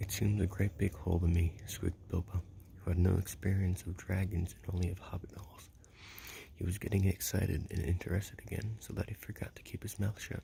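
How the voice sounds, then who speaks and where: The speaker whispers in a soft-spoken, soothing tone. The pace is fairly quick. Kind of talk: ASMR book reading, whispered and soft-spoken. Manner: soft-spoken, soothing, whispered.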